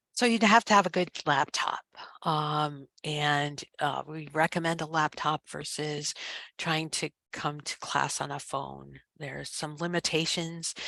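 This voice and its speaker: A woman at a fairly slow pace, very deep and low in pitch, bright and sharp in tone with vocal fry, fairly even intonation, big swings in loudness, and a dry, close sound with no echo. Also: very clean recording, silent background. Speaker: professor. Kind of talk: information session presentation. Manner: hesitant with many fillers. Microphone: headset microphone close to mouth.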